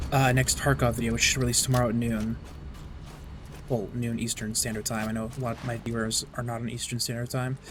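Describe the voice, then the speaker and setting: Over background music, a man talks at a very fast pace in a medium pitch with monotone, flat intonation. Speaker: gaming streamer. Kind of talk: casual gameplay livestream commentary. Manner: quieter than normal earlier, louder now roommate gone.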